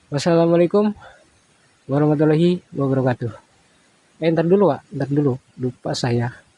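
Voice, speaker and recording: A man speaks in a dark, mellow tone at a fairly high pitch. His pace is fairly quick, with ordinary pitch variation. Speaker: ghost-hunting live streamer. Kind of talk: live stream vlog. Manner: halting with many fillers. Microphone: handheld phone, no tripod.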